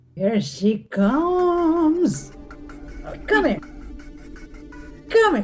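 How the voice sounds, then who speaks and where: Over faint music in the background, a put-on character voice speaks at a high pitch and a very slow pace, with very wide pitch swings and long, frequent pauses. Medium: stage play.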